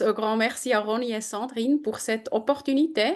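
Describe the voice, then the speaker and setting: Speaking at a moderate pace in a German accent, a woman has a high pitch and ordinary pitch variation. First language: German (speaking French). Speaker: edtech program manager. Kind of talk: webinar presentation. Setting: video call.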